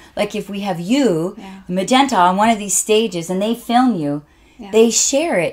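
Speaking at a moderate pace, a woman uses lively intonation and big swings in loudness. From Canada. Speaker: motivational speaker and author. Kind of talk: casual interview chat. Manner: animated. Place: studio.

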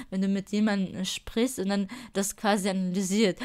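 A woman speaks in an unremarkable speaking voice at medium pitch. Her pace is moderate. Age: 20s. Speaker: spirituality podcaster. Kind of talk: solo podcast monologue. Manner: casual with many fillers.

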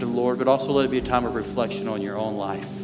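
Clear music runs underneath. Over it, a man talks. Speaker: lead pastor. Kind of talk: sermon. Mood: warm, earnest. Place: church.

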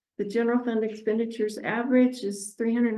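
A woman speaks in a dark, mellow tone. Her intonation is monotone and flat. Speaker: city finance staff presenting report. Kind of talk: financial report at council meeting. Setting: city council meeting. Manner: fast.

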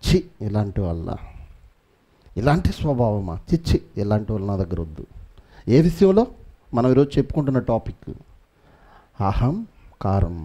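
A man's somewhat breathy, dark and mellow voice at medium pitch, with very wide pitch swings over a quiet background. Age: 30s. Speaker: pastor. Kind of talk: sermon. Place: church. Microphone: headset.

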